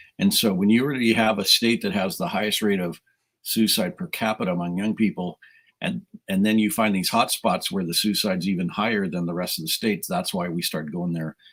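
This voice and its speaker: A normal speaking voice from a man, fairly low-pitched with ordinary pitch variation and a fairly quick pace, on a very clean recording with a silent background. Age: 60s. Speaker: youth minister. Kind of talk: casual chat. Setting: live stream interview.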